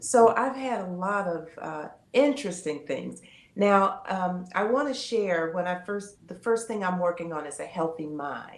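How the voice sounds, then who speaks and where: A woman speaks at medium pitch and a fairly slow pace, with lively intonation. Audible room echo fills the recording. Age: 70s. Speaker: retired educator and pastor's wife. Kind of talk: interview testimony.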